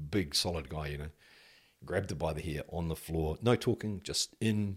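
In a New Zealand accent, a man speaks with a very deep, low pitch, ordinary pitch variation and a somewhat breathy quality. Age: 50s. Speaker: former police detective. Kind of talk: casual interview.

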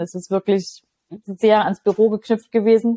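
Recorded dry and close with no echo, a woman speaks at medium pitch in a dark, mellow tone. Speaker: life and leadership coach. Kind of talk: interview.

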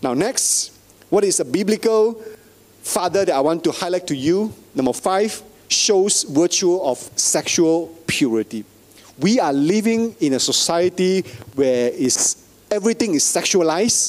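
Noticeable background noise sits behind a man with a high pitch and very even loudness. He speaks at a fairly slow pace with long, frequent pauses. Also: lively intonation. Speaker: pastor. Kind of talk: sermon. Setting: church.

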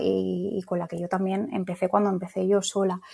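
A woman speaks at medium pitch and a moderate pace. Hers is a plain, everyday voice. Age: 30s. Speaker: psychologist and clinic owner. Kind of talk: interview.

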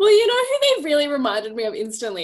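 This woman has an Australian accent. Her intonation is lively. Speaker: podcast co-host. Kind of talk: casual chat.

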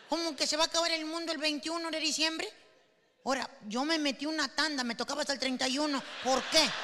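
Raising and projecting her voice, a woman with a high pitch speaks at a fairly quick pace in an animated, bright, sharp tone. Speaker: comedian. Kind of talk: stand-up.

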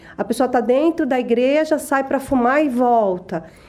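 Music behind a woman's moderately paced speech. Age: 40s. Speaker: church member. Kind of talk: testimony.

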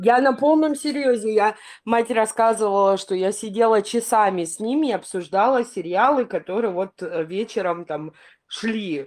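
A plain, everyday voice moves at a fairly slow pace with lively intonation on a very clean recording with a silent background. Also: woman, fairly high pitch for a woman. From Crimea. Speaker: podcast panelist. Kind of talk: casual chat.

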